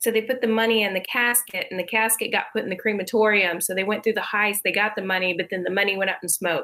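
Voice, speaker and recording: A woman speaks at a very fast pace with a fairly high pitch. Her intonation is fairly even and her tone bright and sharp. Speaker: co-host, writer. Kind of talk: casual chat.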